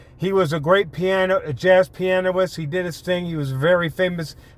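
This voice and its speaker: This man has a high voice and fairly even intonation, speaking at a moderate pace. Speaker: YouTuber, commentator. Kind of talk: casual vlog monologue. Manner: hesitant, many fillers.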